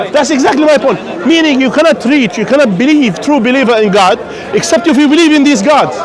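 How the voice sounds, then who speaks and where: With an extremely high pitch for a man, this speaker talks at a very fast pace with lively intonation and very even loudness, while audible room echo and crowd noise fill the background. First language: not English. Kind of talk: street debate. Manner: interrupting, repetitive.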